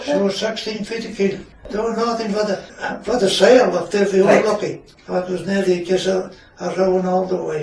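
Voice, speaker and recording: Behind this man there is noticeable background noise. He has a high pitch and fairly even intonation. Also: moderate pace. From Shetland. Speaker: retired fisherman. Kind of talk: interview answer.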